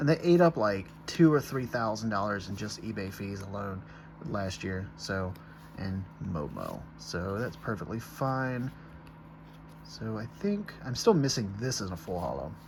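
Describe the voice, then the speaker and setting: A man with a fairly low pitch speaks at a fairly slow pace, using long, frequent pauses and big swings in loudness. His intonation is lively, heard with audible room echo and noticeable background noise. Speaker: card collector YouTuber. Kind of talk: pack opening. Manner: stutters when excited.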